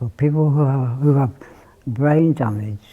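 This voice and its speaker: This man's voice has a dark, mellow tone and is somewhat breathy. He speaks at a fairly slow pace with ordinary pitch variation. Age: 60s. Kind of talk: testimony. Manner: halting.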